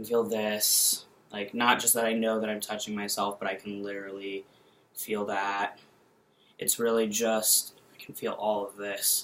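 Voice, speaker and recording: A man's fairly low voice, flat and monotone, at a moderate pace. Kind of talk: casual vlog update. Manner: halting.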